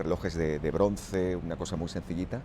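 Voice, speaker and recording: This man has a dark, mellow tone marked by vocal fry. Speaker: radio broadcaster and dubbing actor. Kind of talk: radio interview answer about his career.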